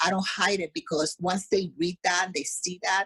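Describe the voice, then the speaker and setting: A plain, everyday voice: a woman at medium pitch and moderate pace, in a dry, close sound with no echo. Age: 60s. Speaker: fitness coach. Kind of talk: podcast interview.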